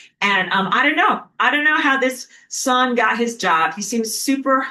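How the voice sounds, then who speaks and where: A woman with a New York accent, bright, sharp tone, very wide pitch swings, and a moderate pace. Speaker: spiritual teacher. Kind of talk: lecture. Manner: casual, conversational with filler words.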